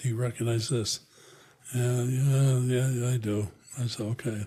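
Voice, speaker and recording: This voice has a dark, mellow tone with some breathiness and an American accent. The intonation stays monotone and flat. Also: man. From Connecticut. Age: 80s+. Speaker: retired HR executive and veteran. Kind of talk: interview.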